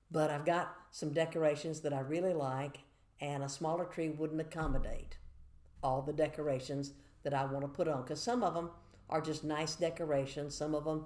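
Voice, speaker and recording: A woman with a Southern US accent talks at a fairly quick pace, her very deep, low voice dark and mellow in tone. Her intonation is monotone and flat, and room echo is audible. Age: 60s. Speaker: church devotional speaker. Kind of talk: devotional talk to camera. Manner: conversational, measured.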